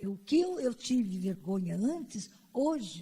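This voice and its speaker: A somewhat breathy voice with a dark, mellow tone moves at a very slow pace. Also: woman. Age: old. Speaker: panelist at an LGBT conference. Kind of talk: personal testimony at a panel. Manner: halting, with repetitions.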